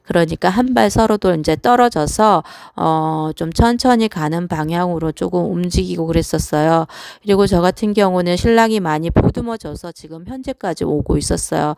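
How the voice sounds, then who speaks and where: A woman speaks at a moderate pace with lively intonation and a fairly low pitch. The recording is very clean, with a silent background. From South Korea. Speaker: vlogger. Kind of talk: personal monologue. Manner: hesitant, with fillers.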